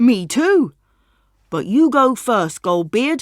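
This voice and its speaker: A woman's put-on character voice, high-pitched with very wide pitch swings, at a very slow pace on a very clean recording with a silent background. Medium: read story. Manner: friendly, polite.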